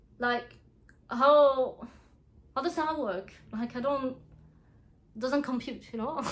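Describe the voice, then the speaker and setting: A high-pitched woman's voice with a French accent, very slow, with long, frequent pauses. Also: ordinary pitch variation. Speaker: book reviewer. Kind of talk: casual review vlog. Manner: animated, casual.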